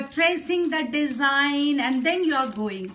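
A woman's raised, projected voice, high-pitched with a bright, sharp tone, ordinary pitch variation and a fairly slow pace, over light background noise. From India, Bihar. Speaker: folk artist; presenter. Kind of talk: live art demonstration. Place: home room. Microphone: phone near.

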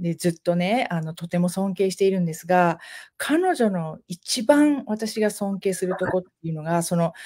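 A woman's dark, mellow voice moves at a moderate pace with ordinary pitch variation. The background is quiet. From Japan. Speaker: podcast co-host, side-business entrepreneur; talk show guest. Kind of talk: casual chat. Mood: warm, grateful, reflective. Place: home room.

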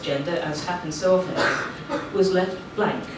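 A woman's voice comes through with audible room echo and noticeable background noise. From Scotland. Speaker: policy analyst. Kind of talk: panel talk. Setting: hall with audience, lapel mic. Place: classroom.

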